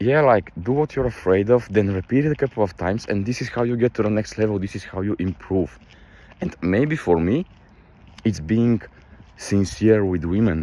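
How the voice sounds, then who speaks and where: At a moderate pace, a man with a Balkan accent and a fairly low pitch speaks with lively intonation. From Balkans. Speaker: motivational vlogger. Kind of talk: casual motivational monologue. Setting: outdoors on a night walk. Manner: animated.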